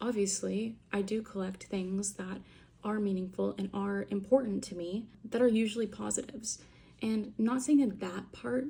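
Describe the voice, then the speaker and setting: Somewhat breathy and dark, mellow in tone, the voice moves at a fairly slow pace with fairly even intonation. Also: woman. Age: 20s. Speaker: vlogger. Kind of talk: casual monologue vlog. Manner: casual, filler-heavy.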